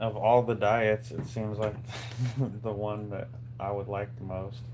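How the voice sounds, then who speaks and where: A man mumbles quietly at a fairly slow pace, his fairly low voice monotone and flat. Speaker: DIY maker livestreamer. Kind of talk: casual live stream chat while working. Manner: mumbling.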